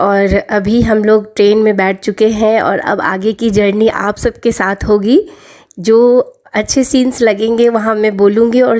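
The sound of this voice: A woman's medium-pitched voice, slightly mellow in tone, with fairly even intonation.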